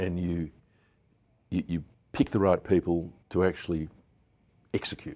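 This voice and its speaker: The speaker has an Australian accent, a dark, mellow tone, monotone, flat intonation and long, frequent pauses. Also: man, very deep, low pitch for a man, moderate pace. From Melbourne, Australia. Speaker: businessman. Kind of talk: interview. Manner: hesitant, many fillers.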